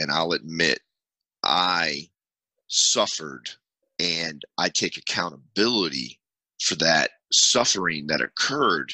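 The speaker talks at a very slow pace with vocal fry, ordinary pitch variation, and long, frequent pauses. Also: man. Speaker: podcast host and army veteran. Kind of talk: advocacy talk show. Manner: emphatic.

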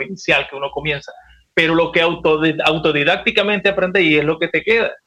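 With a Maracaibo Venezuelan accent, a man speaks in a fairly high pitch using fairly even intonation. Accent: Maracaibo Venezuelan Spanish with voseo. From Venezuela, Maracaibo (Zulia). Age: 50s. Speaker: salsa singer. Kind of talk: casual chat.

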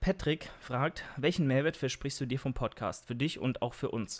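A man talks at a fairly high pitch, varying it in an ordinary way. The background is silent and the recording very clean. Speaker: fitness podcaster and YouTuber. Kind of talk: solo monologue podcast with Q&A. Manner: out of breath while talking; hesitant, many fillers.

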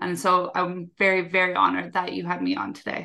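Against a quiet background, a woman with a Canadian accent speaks at a moderate pace, her medium-pitched voice bright and sharp in tone. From Canada. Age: 20s. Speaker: executive assistant and time management coach. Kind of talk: casual interview chat. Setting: video call.

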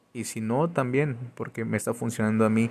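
A man's medium-pitched voice with fairly even intonation, against noticeable background noise. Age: 30s. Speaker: podcaster and entrepreneur. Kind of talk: motivational monologue. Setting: outdoors. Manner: halting.

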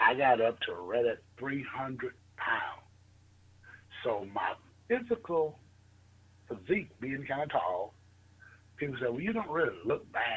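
A man with a Southern US accent speaks at a fairly slow pace with a fairly high pitch, vocal fry, very wide pitch swings, and long, frequent pauses. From US South, northern Mississippi. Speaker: financial marketing entrepreneur. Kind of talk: interview.

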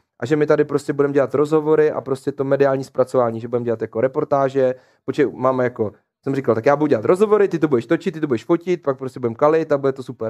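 A man talks at a very fast pace with a fairly high pitch and ordinary pitch variation. The sound is dry and close, with no echo. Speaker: esports streaming agency founder. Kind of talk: casual chat. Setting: studio.

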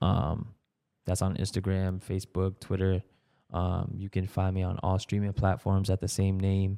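A man's very deep, low voice with a dark, mellow tone, monotone and flat, at a moderate pace with an American accent, on a very clean recording against a silent background. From Brockton, Massachusetts, Cape Verdean family. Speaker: music producer and engineer. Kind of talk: casual interview chat.

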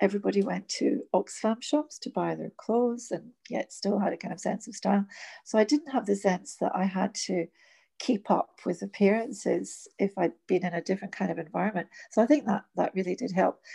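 A woman speaks at a fairly quick pace with a medium pitch and ordinary pitch variation. Her tone is dark and mellow with vocal fry, the sound dry and close with no echo. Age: 60s. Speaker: teacher and workshop facilitator. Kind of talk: casual chat. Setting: remote recording from home during lockdown.

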